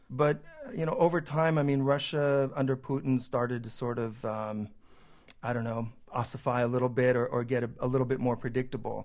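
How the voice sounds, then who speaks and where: A man with a West Coast accent talks with fairly even intonation. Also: medium pitch for a man, fairly quick pace. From California, San Jose. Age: 40s. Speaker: journalist and newspaper founder. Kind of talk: radio interview.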